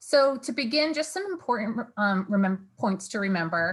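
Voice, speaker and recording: Ordinary pitch variation in a woman's somewhat breathy voice. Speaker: university financial aid director. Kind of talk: online information session presentation. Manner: fast.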